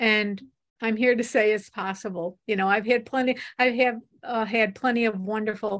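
On a very clean recording with a silent background, an ordinary speaking voice shows ordinary pitch variation and keeps a fairly slow pace. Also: woman. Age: 60s. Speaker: author and advocate on afterlife relationships. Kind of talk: interview.

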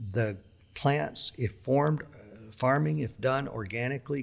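The speaker talks in a Southern US accent. Pitch varies in an ordinary way. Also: man, very clean recording, silent background. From US South, Mississippi. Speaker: organic farmer. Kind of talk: interview.

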